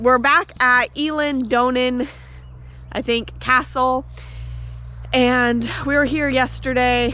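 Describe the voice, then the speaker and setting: Woman in an American accent, with noticeable background noise. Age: 20s. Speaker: travel vlogger. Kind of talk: casual vlog narration.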